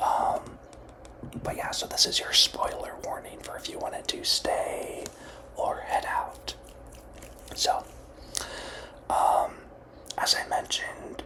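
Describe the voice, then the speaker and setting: Someone whispers at a very slow pace against noticeable background noise. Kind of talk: ASMR movie review. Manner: whispered.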